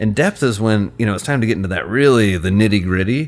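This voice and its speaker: A man with a normal speaking voice and an American accent, fairly low in pitch with ordinary pitch variation, at a fairly quick pace on a very clean recording with a silent background. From US Midwest, rural Indiana. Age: 40s. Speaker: psychiatrist. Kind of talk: interview conversation.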